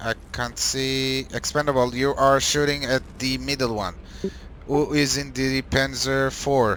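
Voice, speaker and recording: Speaking at a fairly slow pace, a man with a non-native accent keeps a medium pitch. His intonation is monotone and flat. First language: not English. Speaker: gaming clan trainer. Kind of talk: game training session. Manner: halting.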